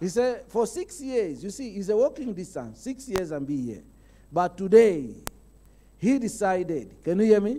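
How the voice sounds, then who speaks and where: This man's voice has a dark, mellow tone and moves at a moderate pace. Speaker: preacher. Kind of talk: sermon. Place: church. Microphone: handheld.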